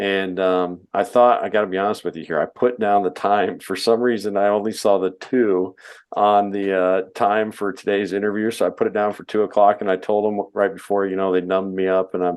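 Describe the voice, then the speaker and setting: A man's fairly low, monotone, flat delivery at a fairly quick pace with hardly any pauses. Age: 30s. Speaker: podcast host and hunter. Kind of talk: casual chat. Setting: podcast interview.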